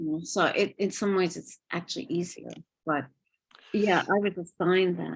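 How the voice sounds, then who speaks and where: At a moderate pace with long, frequent pauses, a woman with vocal fry and a fairly low pitch keeps a fairly even intonation while her loudness swings widely. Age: 70s. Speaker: poet and travel writer. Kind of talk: casual chat.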